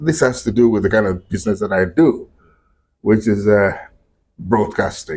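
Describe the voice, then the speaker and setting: A man's medium-pitched, somewhat breathy voice carries lively intonation. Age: 70s. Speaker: broadcaster. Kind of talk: interview.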